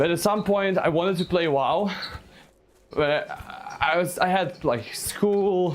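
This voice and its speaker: Speaking with a Russian accent, a man with a high pitch talks at a very slow pace with long, frequent pauses, ordinary pitch variation and very even loudness, over noticeable background noise. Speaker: gaming streamer. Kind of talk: live stream chat. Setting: live stream while playing a game. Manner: halting, repeats words.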